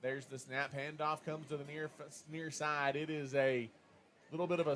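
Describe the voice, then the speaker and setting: A man with a Texas accent talks at a fairly high pitch. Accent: Texas twang. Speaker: play-by-play sports announcer. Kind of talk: live commentary.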